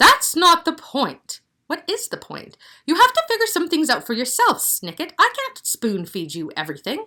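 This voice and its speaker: A woman performs a put-on character voice at an extremely high pitch, with very wide pitch swings. Her loudness swings widely while her pace stays moderate. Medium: read story. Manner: bossy, condescending.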